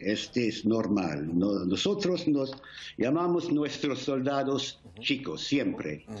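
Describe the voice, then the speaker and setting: A man with an English accent speaks at a very slow pace, his pitch swinging very widely. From England. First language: English (speaking Spanish). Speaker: war veteran. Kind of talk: interview; interview answer. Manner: halting. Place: home room. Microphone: video call.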